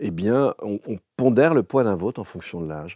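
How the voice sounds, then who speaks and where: At a moderate pace, a man with a fairly low pitch and a dark, mellow tone uses lively intonation, recorded with a dry, close sound and no echo. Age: 60s. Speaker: philosopher. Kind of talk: interview. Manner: halting, many repetitions.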